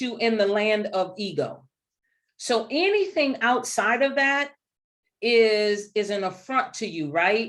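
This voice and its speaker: Over a quiet background, a woman speaks with a fairly high pitch. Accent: New Orleans. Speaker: leadership speaker. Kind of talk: webinar presentation. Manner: animated.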